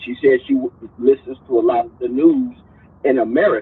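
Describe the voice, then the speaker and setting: At a moderate pace, a man talks. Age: 60s. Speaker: caller. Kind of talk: call-in discussion. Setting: call-in to online show. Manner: halting, repeats words.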